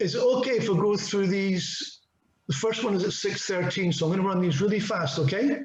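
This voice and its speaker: Fairly quick male speech in a Scottish accent, high in pitch, with ordinary pitch variation and very even loudness. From Scotland. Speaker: IoT technology speaker. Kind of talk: webinar presentation with Q&A. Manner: fast.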